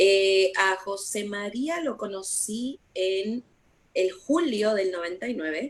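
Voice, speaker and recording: Her voice sits at a medium pitch and moves through very wide pitch swings. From Puerto Rico. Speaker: missionary. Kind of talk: interview.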